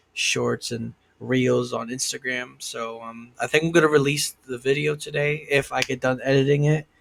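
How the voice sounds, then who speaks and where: A man talks at a moderate pace. His intonation is flat and monotone. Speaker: vlogger. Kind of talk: casual vlog monologue. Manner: halting, many fillers; stuttering.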